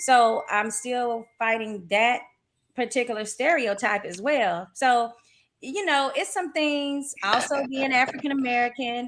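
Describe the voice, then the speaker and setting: Speaking at a fairly slow pace with a Southern accent, a woman has a high pitch and ordinary pitch variation. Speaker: boxing commentator and writer. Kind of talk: casual chat.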